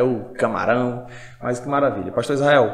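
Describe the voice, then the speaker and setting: A man with a medium-pitched voice talks at a fairly quick pace over noticeable background noise. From Brazil, Pará (Paragominas, Altamira). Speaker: pastor and podcast host. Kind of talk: casual interview chat.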